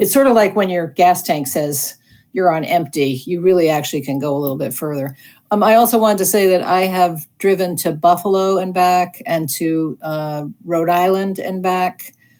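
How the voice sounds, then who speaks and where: In a very clean recording with a silent background, a woman with an unremarkable speaking voice talks at a moderate pace, fairly low in pitch, with ordinary pitch variation. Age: 60s. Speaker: electric car owner. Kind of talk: Q&A panel.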